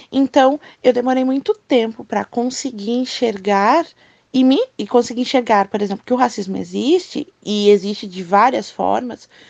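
With ordinary pitch variation, a woman's high voice moves at a moderate pace in a dry, close sound with no echo. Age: 20s. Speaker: guest speaker. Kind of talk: personal testimony.

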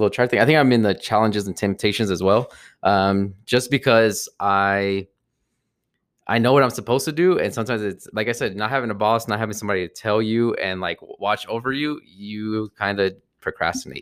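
A plain, everyday voice with an American accent, moving at a fairly quick pace with ordinary pitch variation. The recording is very clean, with a silent background. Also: man, medium pitch for a man. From US Northeast, New Jersey. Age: 30s. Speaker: podcast co-host. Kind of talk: casual chat.

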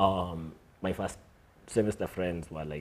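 A man talks at a fairly slow pace in a very deep, low voice with vocal fry and ordinary pitch variation. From Kenya (Timau, Meru area). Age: 20s. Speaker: writer, actor and director. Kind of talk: casual chat. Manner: halting.

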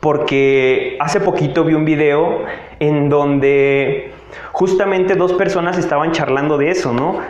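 A man speaks at a fairly slow pace in a high pitch with ordinary pitch variation and very even loudness. Audible room echo and noticeable background noise surround him. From Mexico, Tabasco. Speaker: podcaster. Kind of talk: motivational monologue.

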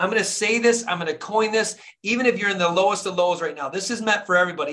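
Raising and projecting his voice, a man with an American accent talks at a very fast pace and a high pitch with ordinary pitch variation. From US Midwest, Flint, Michigan. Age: 40s. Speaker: dentist and motivational coach. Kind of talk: motivational talk. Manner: animated.

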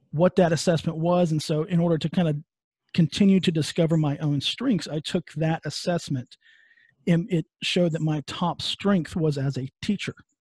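Dry and close with no echo, a man speaks in a West Texas accent with a dark, mellow tone. His pitch is fairly high and varies in an ordinary way. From West Texas (Midland). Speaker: podcast host and HR consultant. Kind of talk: interview. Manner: hesitant, many fillers.

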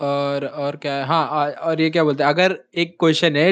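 Here a man speaks with a fairly high pitch. His pace is moderate. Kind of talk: casual chat. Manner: animated.

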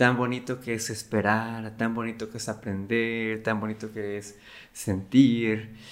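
At a very slow pace, a man speaks. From Mexico, Cancún. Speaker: creative agency worker and podcast host. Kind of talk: casual talk. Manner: halting, with repetitions.

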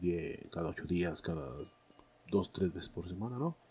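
His voice is very deep and low, with a dark, mellow tone and a somewhat breathy quality. The man speaks at a fairly slow pace. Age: 30s. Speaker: film podcast host. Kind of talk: casual monologue. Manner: hesitant, many fillers.

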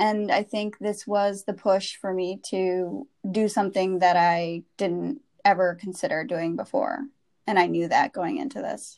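A woman's ordinary speaking voice at a medium pitch, fairly slow, with ordinary pitch variation, on a very clean recording with a silent background. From US Midwest, Wisconsin. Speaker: advertising professional. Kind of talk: personal story interview.

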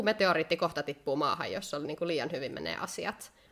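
This woman talks at a fairly quick pace with ordinary pitch variation. She has an unremarkable speaking voice. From Finland. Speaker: podcast co-host. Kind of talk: casual chat. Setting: indoors by candlelight.

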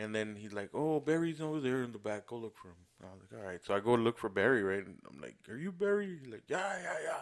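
An animated man races along at a very fast pace with hardly any pauses, very wide pitch swings and big swings in loudness. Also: medium pitch for a man. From Mexico. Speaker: podcast co-host. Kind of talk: casual chat.

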